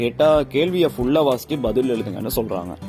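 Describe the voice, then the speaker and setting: Music playing behind a man's voice at a medium pitch. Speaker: podcaster. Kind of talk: humorous podcast monologue. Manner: casual, conversational.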